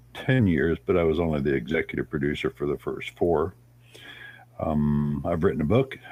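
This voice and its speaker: A man at a moderate pace with lively intonation. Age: 70s. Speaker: atheist activist and podcast host. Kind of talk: casual interview. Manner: halting, with fillers.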